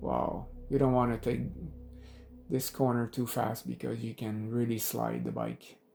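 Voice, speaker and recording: A man talks at a fairly slow pace with long, frequent pauses. Music plays in the background. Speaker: motorcycle vlogger. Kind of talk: casual ride commentary. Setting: outdoors, riding a motorcycle. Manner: hesitant, many filler words.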